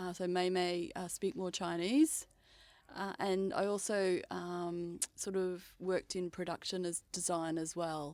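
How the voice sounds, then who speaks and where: A woman with an Australian accent at a medium pitch, fairly slow and fairly even in intonation, in a very clean recording with a silent background. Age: 60s. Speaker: screenwriter and PhD researcher. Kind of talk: interview. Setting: mobile podcast studio. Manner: hesitant, many fillers.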